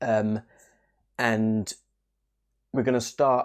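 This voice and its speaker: A quiet man speaking in a monotone, flat intonation, in a very clean recording with a silent background. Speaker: crypto YouTuber. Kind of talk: casual video update. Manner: hushed, quiet.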